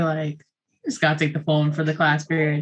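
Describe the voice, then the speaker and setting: A woman talks with an American accent. Her pace is very fast. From New York City. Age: 20s. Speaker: small business owner and teacher. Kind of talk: casual chat. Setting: video call.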